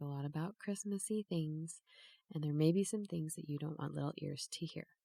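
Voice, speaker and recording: On a very clean recording with a silent background, a woman speaks at a fairly low pitch in a dark, mellow tone, with fairly even intonation and a dry, close sound with no echo. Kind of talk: podcast intro disclaimer.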